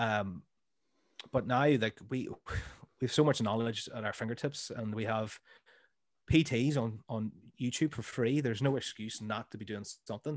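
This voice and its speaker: With a Northern Irish accent, a man talks at a moderate pace and medium pitch, with ordinary pitch variation and long, frequent pauses. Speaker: comedy podcaster and school teacher. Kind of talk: casual chat. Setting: remote call.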